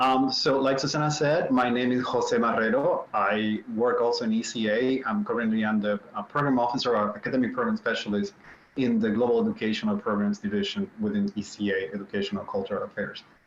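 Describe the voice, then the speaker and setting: Speaking with a Spanish accent at a fairly quick pace, a man with a medium pitch keeps very even loudness and lively intonation, hardly pausing amid noticeable background noise. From Puerto Rico, San Juan. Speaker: government program officer. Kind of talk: panel talk.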